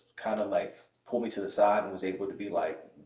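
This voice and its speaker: Room echo is audible around a man's dark, mellow tone. He talks at a fairly quick pace. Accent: American. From New York. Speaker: Air Force technical sergeant. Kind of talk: casual podcast interview. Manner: casual, conversational.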